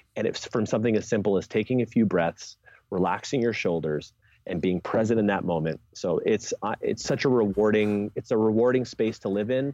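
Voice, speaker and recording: With a dark, mellow tone, a man talks at a fairly quick pace in a fairly low pitch with ordinary pitch variation, the sound dry and close with no echo and the background quiet. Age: 30s. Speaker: strength coach and jump specialist. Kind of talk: podcast interview.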